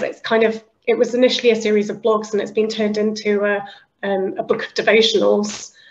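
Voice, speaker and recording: Speaking very fast with a British accent, a woman keeps her fairly high voice in fairly even intonation. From northern England, Liverpool. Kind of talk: interview conversation.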